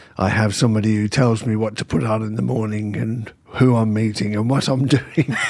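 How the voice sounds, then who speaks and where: Fairly low male voice, fairly quick and even in intonation, with hardly any pauses and noticeable background noise. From Birmingham, England. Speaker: film editor and actor. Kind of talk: interview.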